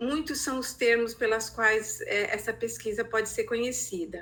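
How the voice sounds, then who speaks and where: Her pitch fairly high and her intonation fairly even, a woman talks at a moderate pace. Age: 60s. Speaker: researcher and art therapy educator. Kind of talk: training presentation. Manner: halting, many hesitations.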